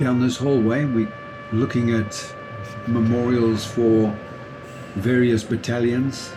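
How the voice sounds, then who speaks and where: Speaking very slowly with long, frequent pauses, a man keeps a medium pitch, monotone, flat intonation and very even loudness, with music in the background and audible room echo. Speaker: travel vlogger. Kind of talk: vlog narration. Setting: indoors at a war memorial shrine. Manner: soft-spoken.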